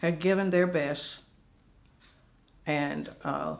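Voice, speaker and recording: At a very slow pace, a woman with an American accent speaks with a fairly low pitch and fairly even intonation. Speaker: retired educator and school administrator. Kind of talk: oral history interview answer.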